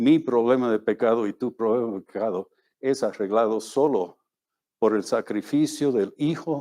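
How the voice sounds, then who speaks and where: Dry and close with no echo, a man's dark, mellow, medium-pitched voice moves at a fairly slow pace. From Bolivia. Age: 70s. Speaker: missionary preacher. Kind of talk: sermon.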